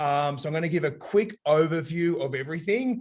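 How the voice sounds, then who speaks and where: Pitch varies in an ordinary way in this voice with an Australian accent. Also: man. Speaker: real estate photographer and digital marketing presenter. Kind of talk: presentation. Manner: fast; animated.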